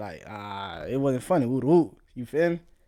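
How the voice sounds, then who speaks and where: Recorded very cleanly against a silent background, a man talks at a moderate pace in a dark, mellow tone. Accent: American. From South Florida. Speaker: podcast host. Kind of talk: casual monologue. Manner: laid-back, laughing.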